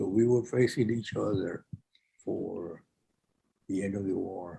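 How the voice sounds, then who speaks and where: A somewhat breathy, dark, mellow tone at a fairly slow pace, with ordinary pitch variation. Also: man, fairly low pitch for a man. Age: 80s+. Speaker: World War II veteran. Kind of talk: interview answer. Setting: video call.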